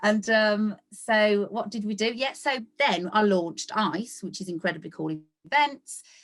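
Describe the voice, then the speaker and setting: In a West Midlands accent, a woman talks at a fairly slow pace and a fairly high pitch. Her tone is animated and her intonation lively. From West Midlands, England. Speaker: cheerleading event organiser. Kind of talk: podcast interview.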